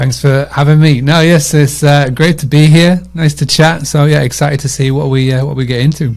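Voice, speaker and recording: Speaking with a Yorkshire accent, a man uses a fairly high pitch and a somewhat breathy voice. He moves at a fairly quick pace with fairly even intonation. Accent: British, Yorkshire. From northern England, Scarborough, Yorkshire. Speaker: short-term rental marketing consultant. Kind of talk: podcast interview. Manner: casual, many fillers.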